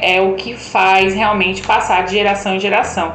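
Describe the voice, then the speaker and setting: Her voice sits at a medium pitch for a woman. The room echoes audibly, and background noise is noticeable. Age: 30s. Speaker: tourism specialist. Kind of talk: casual chat.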